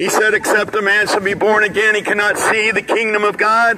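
With noticeable background noise behind him, a man projects a raised, high-pitched voice at a fairly quick pace. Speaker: street preacher. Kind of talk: street sermon delivered outdoors to passersby. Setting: outdoors in a city plaza. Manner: fervent, exhortatory. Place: street.

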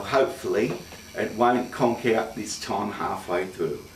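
A man's voice comes through with light background noise and audible room echo. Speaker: fitness demonstrator. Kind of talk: tutorial. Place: gym. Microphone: camera far.

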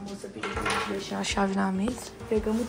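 Loud background noise is heard behind a woman. She talks at a fairly quick pace. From Brazil. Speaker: vlogger. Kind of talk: casual vlog talk. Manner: casual, slangy. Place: home room. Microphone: phone near.

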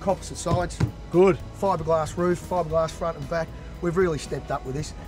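Speech comes at a very fast pace with a dry sound with no echo and clear music in the background. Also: man. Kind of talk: interview answer. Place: open country. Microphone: camera far.

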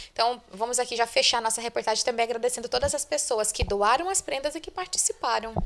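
A woman with a high-pitched voice and ordinary pitch variation speaks very fast, with hardly any pauses. Light background noise is audible. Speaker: local news reporter. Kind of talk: news report interview. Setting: on location at school. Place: home room. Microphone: handheld.

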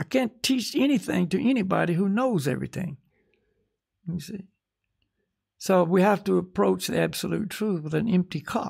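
A man's high voice with an American accent, at a moderate pace with long, frequent pauses, over a quiet background. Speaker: spiritual teacher. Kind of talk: casual chat. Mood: calm, reflective. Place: home room. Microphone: studio mic.

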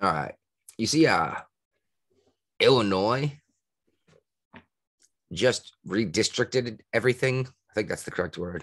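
Against a quiet background, a man speaks at a fairly slow pace with lively intonation and long, frequent pauses. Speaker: podcast co-host. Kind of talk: casual podcast chat. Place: home room.

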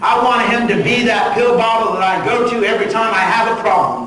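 Audible room echo and light background noise surround a man who talks at a fairly quick pace in a high pitch. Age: 60s. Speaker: pastor. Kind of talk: sermon. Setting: church. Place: church. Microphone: camera far.

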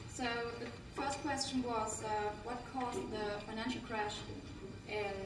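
There is audible room echo along with noticeable background noise. The woman talks at a fairly slow pace. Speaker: presenter. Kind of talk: group presentation. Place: hall. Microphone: camera far.

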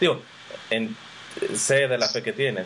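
Light background noise plays under a man who is talking. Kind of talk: faith interview. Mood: warm, friendly, curious. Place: home room. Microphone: webcam.

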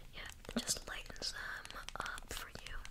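A woman speaks softly in a playful tone over loud background noise. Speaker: ASMR creator. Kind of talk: soft roleplay chat to viewer. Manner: soft close-mic ASMR voice, playful. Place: home room. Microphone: earbuds.

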